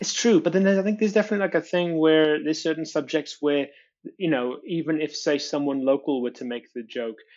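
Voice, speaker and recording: The speaker talks at a very fast pace with ordinary pitch variation. The accent is Welsh. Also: man, fairly high pitch for a man. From Wales. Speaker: comedian. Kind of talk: podcast guest interview answer.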